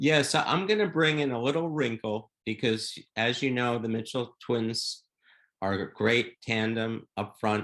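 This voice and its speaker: A man's plain, everyday voice at medium pitch, fairly slow pace, ordinary pitch variation. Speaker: podcast host. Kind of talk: podcast interview question.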